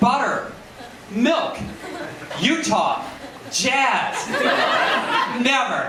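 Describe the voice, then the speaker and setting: A man with an American accent speaks in an upbeat tone, his voice raised and projected. His pitch is extremely high, and there is noticeable background noise. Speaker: late-night talk show host doing stand-up monologue. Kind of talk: stand-up comedy monologue to a live audience. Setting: live comedy lounge with audience. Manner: jokey, upbeat, conversational.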